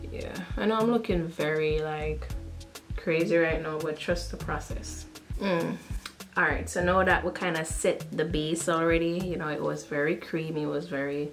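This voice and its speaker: Over clear background music, a woman talks at a moderate pace. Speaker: beauty vlogger. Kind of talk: casual tutorial chat. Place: bathroom.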